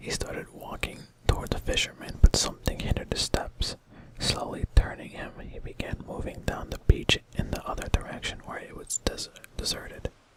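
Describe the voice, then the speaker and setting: The speech is whispered at a middling speed. Background noise is clearly audible. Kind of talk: read story. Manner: soft-spoken.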